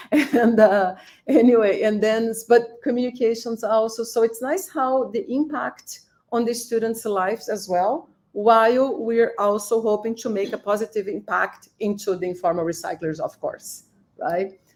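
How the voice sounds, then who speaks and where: A woman speaks at a fairly high pitch. She keeps a moderate pace with ordinary pitch variation. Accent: Portuguese. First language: Portuguese. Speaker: professor. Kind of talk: panel discussion. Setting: live-streamed online event.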